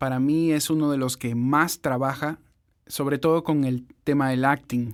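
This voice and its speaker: A man speaks at a moderate pace in a fairly high pitch. His intonation stays monotone and flat. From Ecuador. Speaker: voice-over producer and podcast host. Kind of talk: podcast intro.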